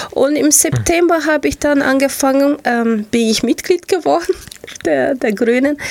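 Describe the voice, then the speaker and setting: A woman with a Portuguese accent speaks at a moderate pace in a high voice with lively intonation and very even loudness. Noticeable background noise runs beneath her. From Brazil, Rio de Janeiro. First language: Portuguese (speaking German). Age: 40s. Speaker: local politician. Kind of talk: radio interview. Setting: radio studio. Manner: animated.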